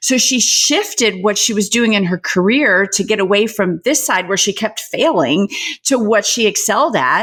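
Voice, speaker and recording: Noticeable background noise sits behind a woman with a fairly high pitch and lively intonation. Her loudness stays very even at a moderate pace. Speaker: podcast host. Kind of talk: podcast interview, conversational. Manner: upbeat, enthusiastic.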